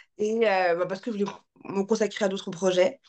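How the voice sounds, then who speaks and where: A woman talks at a moderate pace in an unremarkable speaking voice, her pitch medium. The background is quiet. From France. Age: 30s. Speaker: life coach and content creator. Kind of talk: casual chat.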